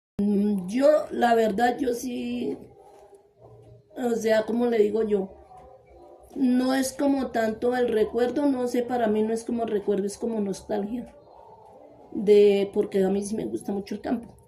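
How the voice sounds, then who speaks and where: A woman's fairly high, fairly even voice at a fairly slow pace, with music in the background. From Colombia, Cundinamarca (rural, Ubaque). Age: 70s. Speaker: interviewee recounting her life. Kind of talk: life story interview. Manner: halting, with many hesitations and repeated words.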